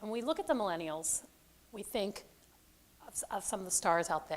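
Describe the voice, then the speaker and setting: Loud and at a fairly quick pace, a woman speaks at a medium pitch with very wide pitch swings. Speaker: conference presenter. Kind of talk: presentation to audience. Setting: stage with audience, microphone. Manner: loud, projecting.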